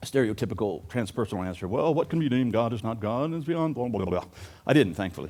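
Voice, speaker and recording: This man talks at a very fast pace, with lively intonation at a medium pitch and a warm tone. The recording is very clean, with a silent background. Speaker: recovery coach. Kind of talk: conference talk. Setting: live audience. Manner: fast, funny, warm.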